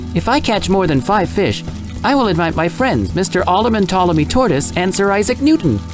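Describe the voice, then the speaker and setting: A put-on character voice moves at a fairly quick pace over loud music in the background. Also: man, high pitch for a man. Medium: read story. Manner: prim, polite.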